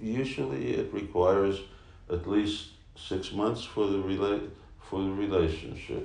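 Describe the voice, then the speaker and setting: A man talks at a fairly slow pace in a fairly low pitch with ordinary pitch variation. Audible room echo follows his voice. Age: 60s. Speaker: spiritual teacher. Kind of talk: casual chat.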